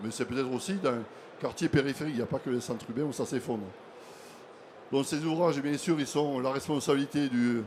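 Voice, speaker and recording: Long, frequent pauses break up a man's fairly quick speech in a Toulouse accent, his fairly high pitch showing ordinary variation. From southern France, Toulouse. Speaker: association vice president, conference moderator. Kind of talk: conference talk.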